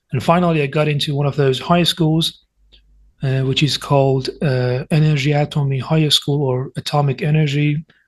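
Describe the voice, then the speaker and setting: Somewhat breathy male voice, monotone and flat, at a moderate pace over a quiet background. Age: 20s. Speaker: university student. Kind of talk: casual interview chat. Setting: online video call.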